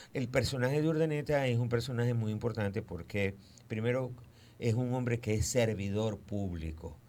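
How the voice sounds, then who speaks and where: A man speaks at a moderate pace and a medium pitch, with ordinary pitch variation and a dark, mellow tone. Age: 60s. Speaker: historian. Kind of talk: radio interview.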